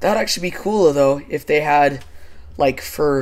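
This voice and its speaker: The man talks at a fairly slow pace in a fairly high pitch, with a normal speaking voice. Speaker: gaming YouTuber. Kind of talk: casual gameplay chat. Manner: casual, laid-back.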